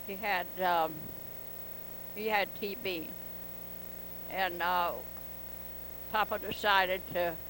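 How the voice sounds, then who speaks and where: With a Southern US accent, a woman at medium pitch has a bright, sharp tone, monotone, flat intonation, and a very slow pace full of long, frequent pauses. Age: 80s+. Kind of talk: interview answer. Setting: home video.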